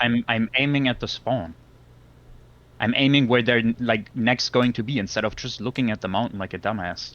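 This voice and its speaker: A man speaks with a non-native accent. His intonation stays fairly even. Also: medium pitch for a man, moderate pace. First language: not English. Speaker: gamer accused of cheating. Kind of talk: heated debate. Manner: halting, repeating words.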